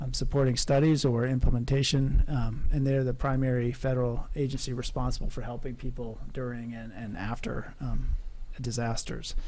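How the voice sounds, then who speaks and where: A soft-spoken man at a medium pitch, monotone and flat in intonation, at a moderate pace, with audible room echo. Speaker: project manager, coastal consultant. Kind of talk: public workshop presentation. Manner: quiet, soft-spoken; hesitant, many fillers.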